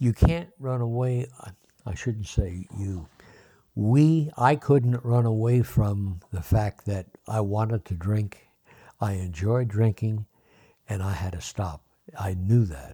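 Very slow and somewhat breathy, a man talks with a fairly low pitch and ordinary pitch variation. His tone is dark and mellow. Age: 80s+. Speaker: recovery guest sharing story. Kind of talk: casual interview. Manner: halting.

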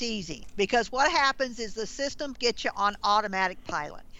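With a Southern US accent, a woman speaks at a moderate pace using very wide pitch swings. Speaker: branding consultant. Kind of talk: interview.

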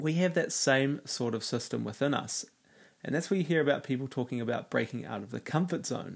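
With a slightly husky edge and vocal fry, a man speaks at medium pitch and a fairly quick pace, using ordinary pitch variation.

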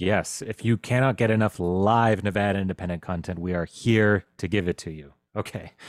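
Using an ordinary speaking voice, a man talks at a moderate pace and a fairly low pitch with fairly even intonation and hardly any pauses, captured in a very clean recording with a silent background. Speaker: political journalist and podcast host. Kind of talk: live-streamed panel discussion.

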